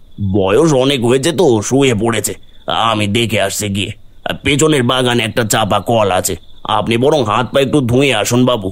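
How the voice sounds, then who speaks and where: Using a cartoonish character voice, a man talks at a medium pitch and a moderate pace. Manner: deferential, addresses listener as babu.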